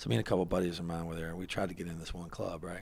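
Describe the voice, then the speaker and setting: Very deep and low in pitch, a man speaks at a very fast pace with an animated tone. He talks with a Southern US accent. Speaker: podcast host. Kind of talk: casual interview chat.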